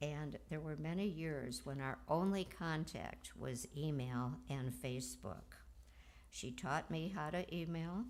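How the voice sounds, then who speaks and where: A woman talks at a very slow pace with a very deep, low pitch and ordinary pitch variation. Audible room echo surrounds her voice. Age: 80s+. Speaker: eulogy speaker, cousin of the deceased. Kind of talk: eulogy at memorial service. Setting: memorial service.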